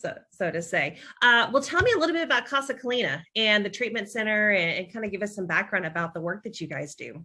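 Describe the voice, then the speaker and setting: Delivered in a Texan accent, the bright, sharp voice moves at a very fast pace with hardly any pauses and very wide pitch swings. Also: woman, fairly high pitch for a woman. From Texas, Dallas-Fort Worth. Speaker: podcast host, nonprofit director. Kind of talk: podcast interview.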